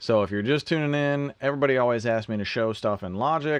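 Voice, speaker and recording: A man speaks with lively intonation. The sound is dry with no echo, and the background is quiet. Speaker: music producer and mixing engineer hosting a livestream; mixing engineer livestream host. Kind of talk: live Q&A livestream. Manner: casual, conversational. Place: studio.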